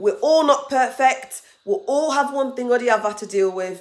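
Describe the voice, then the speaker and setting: Speaking with a Nigerian accent, a woman uses a high pitch and lively intonation at a moderate pace. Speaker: international student and vlogger. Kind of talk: casual advice vlog.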